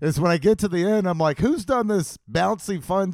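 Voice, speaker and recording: The recording is very clean with a silent background, and the speech moves at a moderate pace. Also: man. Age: 40s. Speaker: podcast host. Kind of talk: casual chat.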